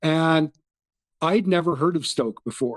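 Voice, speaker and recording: A man with a Canadian accent and an ordinary speaking voice talks at a moderate pace with ordinary pitch variation, the sound dry and close with no echo. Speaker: football fan. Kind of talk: casual chat.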